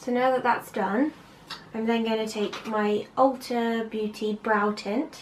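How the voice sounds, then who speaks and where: A woman with a Bristolian accent speaks at a very slow pace in a fairly high pitch. Her intonation is fairly even, and there is noticeable background noise. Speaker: amateur makeup artist. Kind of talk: makeup tutorial talk to camera.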